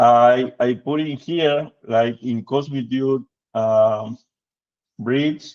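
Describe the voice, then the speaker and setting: A man with a Spanish accent speaks at a very slow pace, using a medium pitch and fairly even intonation. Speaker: product demonstrator. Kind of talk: product demo in a video call. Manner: halting, many fillers.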